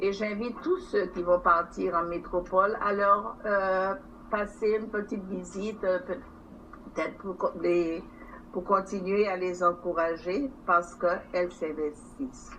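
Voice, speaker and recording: A woman at medium pitch with ordinary pitch variation, very slow delivery and audible room echo. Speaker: territorial council president. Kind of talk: formal council speech. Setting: council chamber session.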